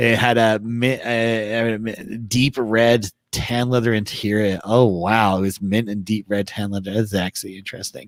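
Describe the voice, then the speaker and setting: With hardly any pauses, a man speaks in a fairly low pitch and a monotone, flat intonation. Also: moderate pace. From England. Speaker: car club podcast host. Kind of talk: casual chat. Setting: livestream.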